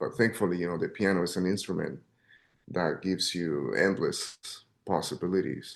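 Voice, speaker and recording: Against a quiet background, a man speaks. He has a Spanish accent. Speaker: jazz pianist. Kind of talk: interview. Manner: halting, repeats words.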